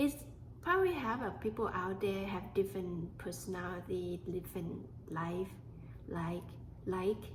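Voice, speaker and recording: A woman with a Thai accent, medium pitch and ordinary pitch variation, speaking at a fairly slow pace with long, frequent pauses amid audible room echo. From Thailand. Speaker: podcast host. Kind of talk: personal storytelling monologue. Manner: halting.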